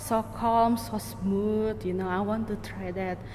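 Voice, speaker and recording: With lively intonation and a medium pitch, a woman speaks in a room with audible echo and noticeable background noise. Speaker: audio walk artist. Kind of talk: interview. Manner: halting.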